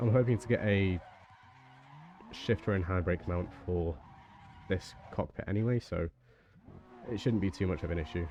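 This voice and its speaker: This man has a very deep, low pitch. He talks at a fairly slow pace with ordinary pitch variation. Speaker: sim racing gameplay YouTuber. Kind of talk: gameplay commentary and product review. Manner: casual, with hesitations.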